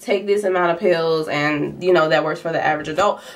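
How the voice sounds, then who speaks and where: Over noticeable background noise, a woman speaks at a fairly quick pace. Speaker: nursing student vlogger. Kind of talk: vlog. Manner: casual, filler-heavy; fast.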